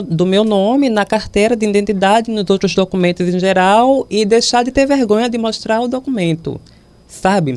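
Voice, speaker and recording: This woman has a normal speaking voice at a medium pitch. She talks at a fairly slow pace. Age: 20s. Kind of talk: interview.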